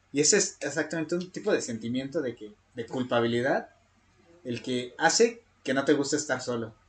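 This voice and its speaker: A lively intonation, a somewhat breathy sound, and a fairly quick pace. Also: man, fairly high pitch for a man. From Mexico. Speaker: podcast co-host. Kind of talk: casual chat.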